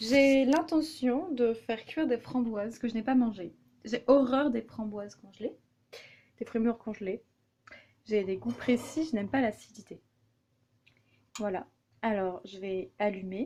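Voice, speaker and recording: Pausing long and often, a woman speaks at a fairly slow pace with ordinary pitch variation. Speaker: vlogger. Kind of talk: casual vlog monologue while cooking. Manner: hesitant, many fillers.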